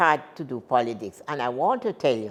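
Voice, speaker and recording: A woman speaks in a Jamaican accent. Her pitch swings very widely. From Jamaica, Saint Thomas parish. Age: 80s+. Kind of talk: interview answer.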